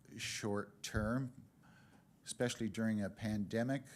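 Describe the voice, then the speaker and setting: Very clean, with a silent background, the recording carries a man's medium-pitched voice. He speaks at a fairly slow pace with fairly even intonation. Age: 60s. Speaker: public delegate at council meeting. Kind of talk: public delegation address. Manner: halting, many filler uhs.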